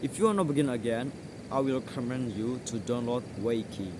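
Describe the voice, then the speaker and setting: In a room with audible echo, a man of medium pitch talks with an Indonesian accent. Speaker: English tutor. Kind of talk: tutorial. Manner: halting.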